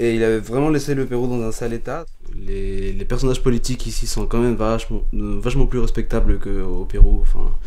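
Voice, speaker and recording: A man speaks fairly quickly amid noticeable background noise and audible room echo. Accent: Peruvian. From Peru. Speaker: university student. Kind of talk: interview testimony. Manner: fast when stressed; hesitant, many fillers.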